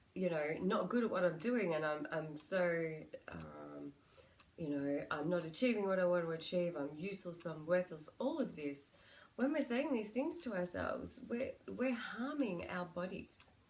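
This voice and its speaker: With an Australian accent, a woman speaks at a moderate pace, fairly low in pitch, with lively intonation. Room echo is audible. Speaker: psychic medium and spiritual healer. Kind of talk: spiritual guidance talk (card reading). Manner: casual, with frequent fillers.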